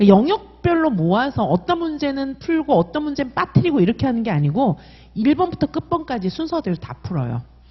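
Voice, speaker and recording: Her high-pitched voice swings very widely in pitch. This woman sounds animated and moves at a fairly quick pace. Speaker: exam prep instructor. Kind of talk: sales pitch.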